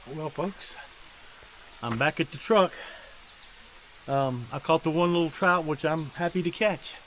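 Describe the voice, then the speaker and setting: With an American accent, a man speaks at a fairly slow pace and a fairly high pitch, using ordinary pitch variation and long, frequent pauses over noticeable background noise. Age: 60s. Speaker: outdoor vlogger, fisherman. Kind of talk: casual vlog narration. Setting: outdoors, mountain stream; outdoors, by his truck. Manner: casual, halting with fillers.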